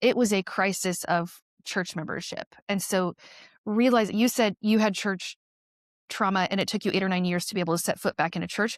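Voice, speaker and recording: A woman speaks in a plain, everyday voice, medium in pitch, at a fairly quick pace with fairly even intonation. The sound is dry and close with no echo, on a very clean recording with a silent background. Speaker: nurse. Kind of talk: podcast interview. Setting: podcast conversation.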